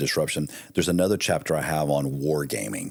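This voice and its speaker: This man speaks with an American accent. His pitch is very deep and low, with ordinary variation. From US, military family. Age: 50s. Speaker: military veteran and marketing executive, author. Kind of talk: podcast interview.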